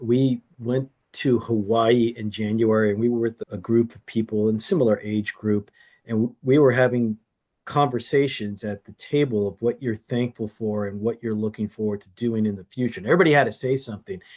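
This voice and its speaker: In a normal speaking voice, a man of medium pitch talks at a fairly quick pace with fairly even intonation and big swings in loudness. The sound is dry and close with no echo, over a quiet background. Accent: American. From California. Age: 50s. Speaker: 1031 exchange specialist. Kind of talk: casual interview conversation.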